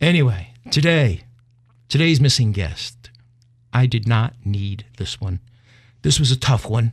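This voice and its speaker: Pausing long and often, a man speaks at a fairly slow pace in a medium pitch, with lively intonation and a somewhat breathy voice. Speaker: podcast host. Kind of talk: casual chat. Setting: studio.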